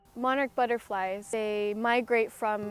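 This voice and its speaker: Music plays in the background as a woman with an American accent talks at a fairly slow pace. Her fairly high voice has a monotone, flat intonation. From United States. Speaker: amateur potter, music student. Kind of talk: interview answer. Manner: casual.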